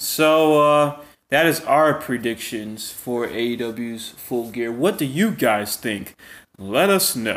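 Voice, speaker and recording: A man with a medium-pitched voice speaks at a very slow pace with lively intonation. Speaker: wrestling podcast host. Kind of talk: casual chat. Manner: animated.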